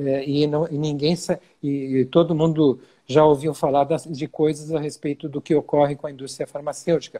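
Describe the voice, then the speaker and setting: A dark, mellow tone at a moderate pace, flat and monotone, with a dry, close sound and no echo. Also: man, fairly high pitch for a man. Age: 60s. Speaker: physician. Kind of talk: interview. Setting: video call. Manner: halting.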